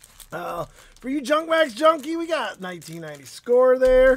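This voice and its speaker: Noticeable background noise runs behind a man whose speech moves at a moderate pace. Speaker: card-breaking livestream host. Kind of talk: live stream chat. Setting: live stream. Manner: casual, chatty.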